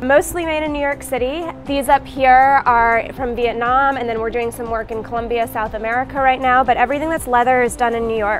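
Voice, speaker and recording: A woman's high-pitched voice at a fairly quick pace, fairly even intonation, hardly any pauses, clear music in the background. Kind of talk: interview answer. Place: shop.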